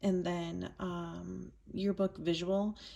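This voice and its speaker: Quietly, a woman with an American accent speaks in a dark, mellow tone. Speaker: yearbook adviser teacher. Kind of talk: tutorial. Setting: at home, screen recording.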